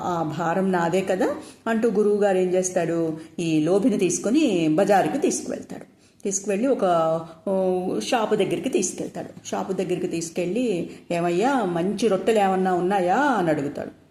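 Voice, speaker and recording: This woman's voice sits at a medium pitch with a dark, mellow tone. Her pitch varies an ordinary amount. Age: old. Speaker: storyteller. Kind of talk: bedtime story for children.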